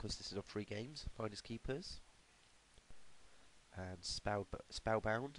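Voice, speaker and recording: In a British accent, a man speaks at a fairly slow pace with long, frequent pauses. His pitch sits in the medium range with ordinary variation. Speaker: retro game reviewer. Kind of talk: casual game review voice-over. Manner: hesitant, many fillers.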